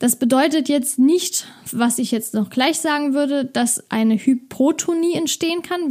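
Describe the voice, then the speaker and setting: A woman speaks in an enthusiastic tone. Her pitch is high. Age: 20s. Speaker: nutrition podcaster. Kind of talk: educational monologue. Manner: casual, enthusiastic.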